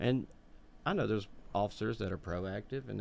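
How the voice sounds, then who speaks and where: There is vocal fry in this man's voice. He talks at a moderate pace with ordinary pitch variation. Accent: Alabama. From Birmingham, Alabama. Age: 30s. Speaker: podcast co-host. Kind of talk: podcast interview.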